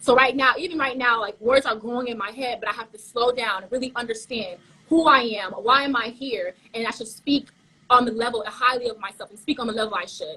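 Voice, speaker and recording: With a slight Caribbean accent, a woman speaks in a high pitch and a bright, sharp tone, her loudness swinging widely. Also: ordinary pitch variation. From Haitian family, South Florida. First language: Haitian Creole. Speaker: pageant contestant. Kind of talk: interview. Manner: fast, sometimes stumbling.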